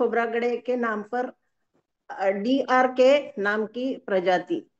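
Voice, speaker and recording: In a Marathi accent, a woman with a high pitch talks with ordinary pitch variation. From Maharashtra (Brahmapuri area, Vidarbha). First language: Marathi (speaking Hindi). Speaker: webinar participant, company member. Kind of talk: prepared talk at online webinar. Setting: online webinar. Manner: halting, with fillers.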